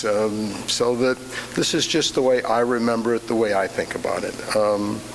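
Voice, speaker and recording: A man talks at a medium pitch while noticeable background noise and audible room echo fill the recording. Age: 70s. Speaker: church member giving a Father's Day reflection. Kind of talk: personal reflection talk in church. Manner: halting, many fillers.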